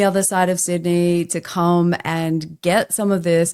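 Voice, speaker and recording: Captured in a very clean recording with a silent background, a woman with an Australian accent talks at a medium pitch. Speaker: podcast host and LinkedIn coach. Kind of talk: casual chat. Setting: podcast interview.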